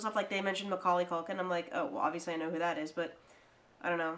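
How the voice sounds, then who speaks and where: In an American accent, a woman talks in an animated tone. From US, Delaware County. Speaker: podcast co-host. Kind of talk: casual chat.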